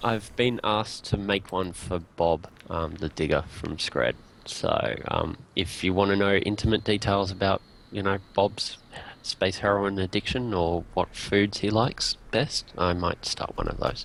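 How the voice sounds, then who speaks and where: Speaking with an Australian accent, a man talks at a fairly slow pace and fairly low pitch, with ordinary pitch variation. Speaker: indie game developer. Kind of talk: casual chat. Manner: hesitant, many fillers.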